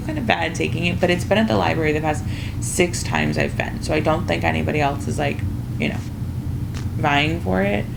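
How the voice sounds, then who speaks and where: The voice swings very widely in pitch at a fairly quick pace. Background noise is noticeable. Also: woman. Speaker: book reviewer. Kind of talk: casual talk to camera.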